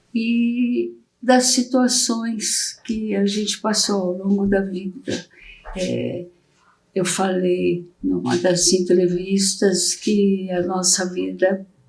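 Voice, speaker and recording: Somewhat breathy and at medium pitch, a woman talks at a very slow pace with ordinary pitch variation. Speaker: guest's wife. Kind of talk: interview. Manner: soft-spoken.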